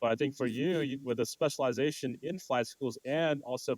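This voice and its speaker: A man talks at a fairly quick pace in a plain, everyday voice with ordinary pitch variation. The sound is dry and close, with no echo. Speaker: podcast host. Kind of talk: interview.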